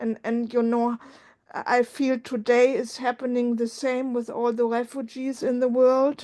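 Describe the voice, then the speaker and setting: A woman's high-pitched, dark, mellow voice with a German accent, monotone, flat intonation and a fairly slow pace. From Germany. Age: 50s. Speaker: support group member. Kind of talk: emotional sharing in support group. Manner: halting.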